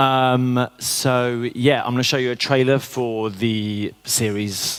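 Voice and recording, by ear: A man talks at a slow pace with little pitch movement. His tone is clear and smooth. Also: medium pitch for a man.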